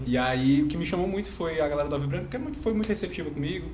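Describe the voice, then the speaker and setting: A man speaks with a fairly high pitch. There is audible room echo and noticeable background noise. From Brazil, moved often (Paraíba, Acre, Amazonas, Roraima, Natal, Recife). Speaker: youth fraternal order leader. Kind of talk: casual podcast chat. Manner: hesitant, many fillers.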